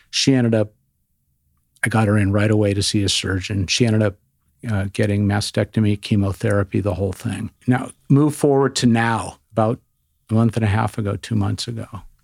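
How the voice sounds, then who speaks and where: A man with a plain, everyday voice, fairly low in pitch, with fairly even intonation at a fairly quick pace, in a very clean recording with a silent background and a dry, close sound with no echo. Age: 60s. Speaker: radiologist. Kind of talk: casual chat.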